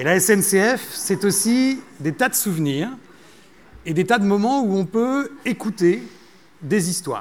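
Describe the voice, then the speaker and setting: A man with a high pitch and lively intonation speaks at a very slow pace, with long, frequent pauses. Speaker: festival organizer. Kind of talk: stage speech. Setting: stage with audience. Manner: breathy.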